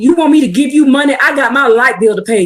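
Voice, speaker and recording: A woman shouts loudly at a high pitch. Her pace is fairly quick and her pitch varies in an ordinary way. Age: 50s. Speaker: online preacher. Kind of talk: livestream religious teaching. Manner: loud, yelling.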